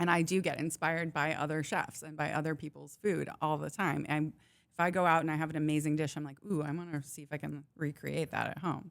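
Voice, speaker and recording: Very fast speech with vocal fry, in a very clean recording against a silent background. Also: woman. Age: 40s. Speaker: personal chef. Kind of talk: casual chat.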